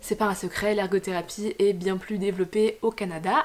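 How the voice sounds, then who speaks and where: Noticeable background noise sits behind a woman who speaks fairly quickly with fairly even intonation. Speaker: occupational therapist vlogger. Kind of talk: Q&A vlog. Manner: fast; hesitant, many fillers.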